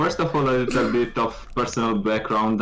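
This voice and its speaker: A man speaks with a Romanian accent. Noticeable background noise runs through the clip. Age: 20s. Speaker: esports caster. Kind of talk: casual chat.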